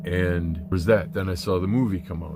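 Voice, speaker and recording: Music plays behind a man with a very deep, low pitch and audible room echo. He speaks at a fairly quick pace with ordinary pitch variation. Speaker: spiritual vlogger. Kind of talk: casual monologue. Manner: flowing today.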